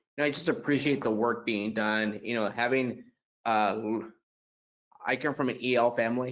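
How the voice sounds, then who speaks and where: With a Spanish accent, a man speaks at medium pitch and a moderate pace. He takes long, frequent pauses. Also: fairly even intonation. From eastern Oregon, US. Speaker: education board member. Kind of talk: public board meeting comment. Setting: video conference.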